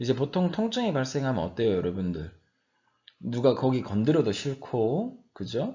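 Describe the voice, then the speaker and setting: There is audible room echo around this man's medium-pitched voice, which has vocal fry and very wide pitch swings. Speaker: university professor. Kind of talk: lecture. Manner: slower than usual today.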